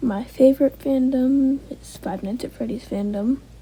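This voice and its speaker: A woman speaks at a high pitch with ordinary pitch variation. Noticeable background noise can be heard behind her. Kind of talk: casual Q&A talk to camera.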